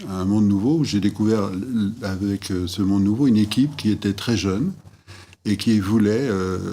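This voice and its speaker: Here a man speaks in a fairly low, dark, mellow voice. His pace is moderate and his pitch varies in an ordinary way. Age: 60s. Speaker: former school headmaster. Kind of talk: interview testimony. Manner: halting, many hesitations.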